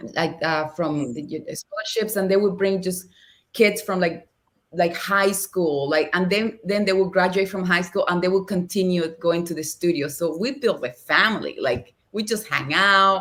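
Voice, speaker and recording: A woman with a Spanish accent, animated tone, moderate pace and ordinary pitch variation. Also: medium pitch for a woman. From Cuba, Havana. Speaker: actress and dancer. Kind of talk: podcast interview.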